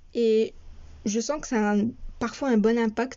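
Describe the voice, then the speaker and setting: A woman's voice with a fairly high pitch. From France. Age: 20s. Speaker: podcast host. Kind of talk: podcast monologue.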